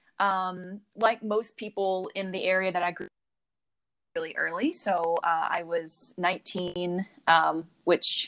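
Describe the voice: A woman in an American accent, with fairly low pitch, a fairly bright tone, fairly even intonation, and a fairly slow pace.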